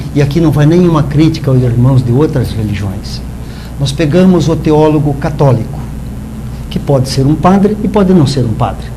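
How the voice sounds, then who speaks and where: In a room with audible echo and noticeable background noise, a man speaks at a moderate pace with a fairly high pitch and lively intonation. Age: 60s. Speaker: spiritist lecturer. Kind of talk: talk at spiritist meeting. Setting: live-streamed meeting.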